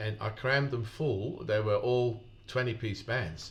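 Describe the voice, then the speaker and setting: This man's voice is somewhat breathy. His pitch is medium. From Netherlands. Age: 60s. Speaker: sound engineer. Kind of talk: casual interview. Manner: hesitant, repeats words.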